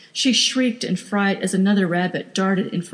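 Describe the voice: What we hear is plain reading aloud. The delivery is simply read from text.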